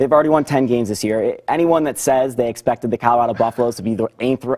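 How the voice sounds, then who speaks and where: Ordinary pitch variation against a quiet background. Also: man. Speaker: sports reporter and anchor. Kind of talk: post-game interview answer. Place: studio. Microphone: lapel.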